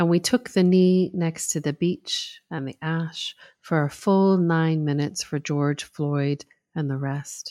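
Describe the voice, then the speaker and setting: At a fairly slow pace, a woman talks in a plain, everyday voice, fairly low in pitch, with fairly even intonation. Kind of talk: poetry reading aloud. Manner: measured, rhythmic, performative.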